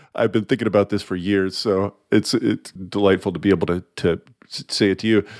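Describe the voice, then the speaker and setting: A man speaks at a fairly quick pace with a fairly low pitch, recorded very cleanly against a silent background, the sound dry and close with no echo. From US South. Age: 50s. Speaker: podcast host. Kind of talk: interview. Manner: animated.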